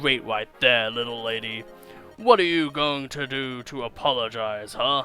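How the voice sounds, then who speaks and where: Clear music plays in the background as a man talks at a moderate pace. He uses a put-on character voice at a medium pitch. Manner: menacing, taunting.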